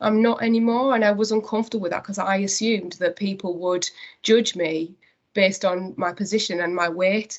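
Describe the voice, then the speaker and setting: A woman with a North East England accent, at medium pitch, fairly quick pace and fairly even intonation. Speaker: company managing director. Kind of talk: interview conversation. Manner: hesitant, many fillers.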